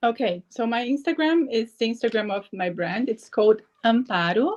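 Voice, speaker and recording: Her intonation is lively. The woman's pitch is fairly high. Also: moderate pace. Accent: Portuguese. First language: Portuguese. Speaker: entrepreneur. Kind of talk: interview.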